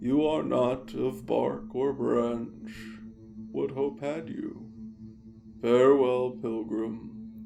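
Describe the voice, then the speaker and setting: A man's put-on character voice at a very slow pace, with clear background noise. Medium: audio drama. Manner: slow, grave.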